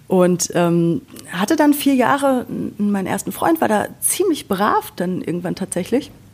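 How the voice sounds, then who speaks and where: Here is a woman with an unremarkable speaking voice. She talks at a moderate pace with lively intonation. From Sauerland, western Germany. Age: 30s. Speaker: podcast co-host. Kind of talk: casual chat.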